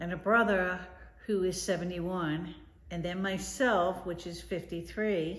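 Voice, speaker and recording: Audible room echo surrounds a woman with an American accent speaking at a fairly slow pace in a fairly low voice with fairly even intonation. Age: 60s. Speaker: grandmother interviewed. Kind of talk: interview answers.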